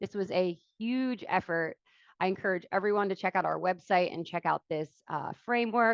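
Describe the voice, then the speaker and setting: Speaking with an American accent, a woman uses a medium pitch with ordinary pitch variation. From Philadelphia area, US. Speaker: environmental agency watershed coordinator. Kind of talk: webinar presentation. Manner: fast.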